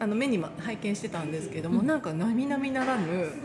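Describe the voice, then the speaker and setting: Her voice is fairly high, with very wide pitch swings, at a moderate pace as a woman speaks over noticeable background noise. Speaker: podcast host and singer. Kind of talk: casual interview chat.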